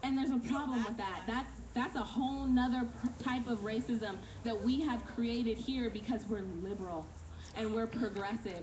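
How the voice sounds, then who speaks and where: A woman speaks at a moderate pace with a fairly high pitch. Her intonation stays fairly even over noticeable background noise. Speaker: activist. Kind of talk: rally speech. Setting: outdoors.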